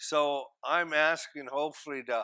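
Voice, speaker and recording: On a very clean recording with a silent background, a man with a Maritime Canadian accent speaks in a bright, sharp tone at a fairly high pitch. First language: Mi'kmaq. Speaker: First Nations regional chief. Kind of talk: panel discussion. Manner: hesitant, many fillers.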